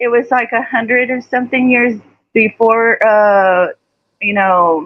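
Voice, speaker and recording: With a strong Texas accent, a woman speaks at a fairly slow pace with fairly even intonation. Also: fairly high pitch for a woman. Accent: Texas twang, pronounced. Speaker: live stream guest. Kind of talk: casual chat.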